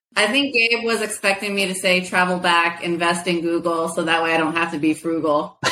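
A woman speaks at fairly low pitch and very even loudness, with hardly any pauses. Noticeable background noise sits underneath. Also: ordinary pitch variation. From Mexican family background. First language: Spanish. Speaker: privacy professional. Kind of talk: podcast interview. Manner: passionate.

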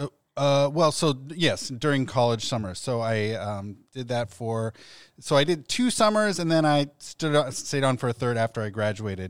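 A plain, everyday voice from a man, medium-pitched with lively intonation at a moderate pace, on a very clean recording with a silent background. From Ohio (Columbus). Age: 40s. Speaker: rabbi. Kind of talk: casual chat. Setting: studio.

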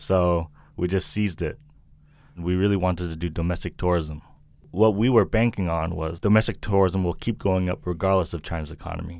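Speech in an American accent comes at a fairly quick pace with fairly even intonation. The recording is very clean, with a silent background. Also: man. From US Northeast, Milton, Massachusetts. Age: 30s. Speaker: restaurant and tourism entrepreneur. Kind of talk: interview.

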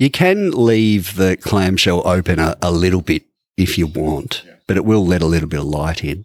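A man speaks with an Australian accent in a very deep, low register. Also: dry, close sound with no echo. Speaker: podcast co-host. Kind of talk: casual chat. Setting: studio.

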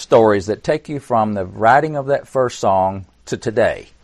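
An ordinary speaking voice from a man with an American accent, medium in pitch, with lively intonation over a quiet background. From Tennessee, US South. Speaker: songwriter and author. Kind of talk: interview. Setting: video call.

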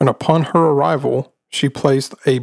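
The pace here is fairly slow, with ordinary pitch variation. It is a plain, everyday voice. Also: man. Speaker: podcast host. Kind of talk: ghost story telling, narrating a true haunting. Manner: casual, joking, teasing.

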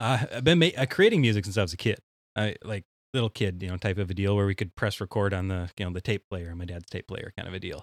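A man with an Upper Midwest accent at a fairly low pitch and a very fast pace, with ordinary pitch variation, in a dry, close sound with no echo on a very clean recording with a silent background. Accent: Upper Midwest (Minnesota). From central Minnesota. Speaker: synthwave musician. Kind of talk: casual chat.

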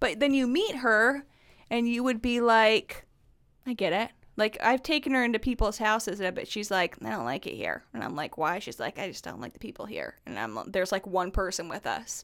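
Over a very clean, silent background, a woman with an American accent speaks at a fairly quick pace, her fairly high pitch touched with vocal fry and her intonation lively. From northern US. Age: 30s. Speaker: guest, mother of two. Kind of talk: casual chat.

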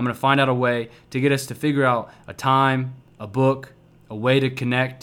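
A man's upbeat tone at medium pitch. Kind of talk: pep talk. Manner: fervent, upbeat, motivational, emphatic with repetition.

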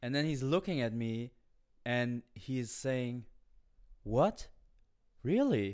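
A man with a German accent talks at a very slow pace, leaving long, frequent pauses. His pitch is medium, with ordinary variation. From Germany. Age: 30s. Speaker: comedian. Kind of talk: casual chat.

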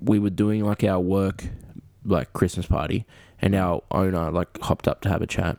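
A man's very deep, low voice with vocal fry and a playful tone. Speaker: podcast co-host. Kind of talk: casual chat. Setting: video call. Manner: joking, playful.

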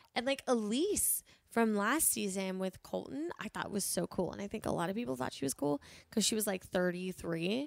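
Her pitch medium but swinging very widely, a woman talks at a moderate pace on a very clean, silent-background recording with a dry, close sound and no echo. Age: 20s. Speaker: comedian. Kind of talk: casual chat.

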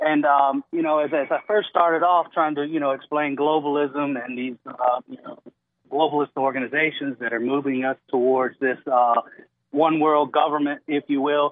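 Speaking at a moderate pace, a man sounds excited, his voice fairly high in pitch. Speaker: caller. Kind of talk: call-in conversation. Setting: phone call. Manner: excited, slightly halting.

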